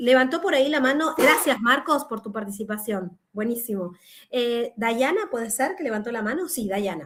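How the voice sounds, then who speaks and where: Her high-pitched voice moves in very wide pitch swings at a moderate pace. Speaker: law professor. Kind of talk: online lecture. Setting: video call.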